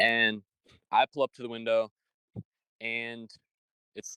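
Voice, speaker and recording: A man with a Michigan accent at medium pitch and moderate pace, in a dry, close sound with no echo. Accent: Michigan nasal. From Michigan, US. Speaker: podcast host. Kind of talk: casual chat. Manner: animated.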